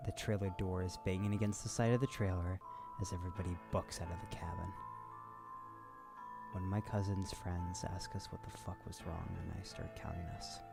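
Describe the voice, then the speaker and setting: Lively intonation carries along at a moderate pace while music plays in the background. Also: man. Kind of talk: reading a creepypasta story aloud, casual with cursing.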